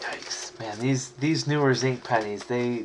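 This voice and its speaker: A man at a medium pitch, fairly slow and relaxed in tone, with noticeable background noise. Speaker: coin collector streamer. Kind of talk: live stream commentary. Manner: mumbling at times; casual, relaxed.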